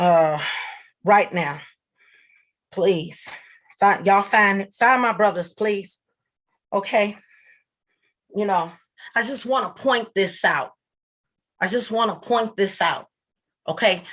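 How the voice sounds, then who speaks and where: Delivered at a very slow pace with long, frequent pauses, the speech has ordinary pitch variation. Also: woman, medium pitch for a woman. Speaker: livestream host. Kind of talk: livestream rant. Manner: loud; halting.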